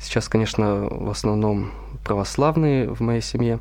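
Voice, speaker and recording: The voice belongs to a man. His words carry an audible echo from the room. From Russia, Veliky Novgorod. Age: 20s. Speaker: seminarian. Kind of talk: radio interview.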